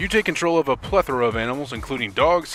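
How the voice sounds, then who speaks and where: Lively intonation carries the voice over music in the background. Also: man. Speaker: game reviewer. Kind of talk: video game review voiceover.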